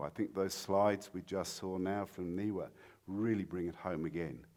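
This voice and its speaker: The accent is British. Words arrive at a moderate pace. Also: man. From Britain. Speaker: mining industry speaker. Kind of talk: conference talk. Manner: halting, many fillers.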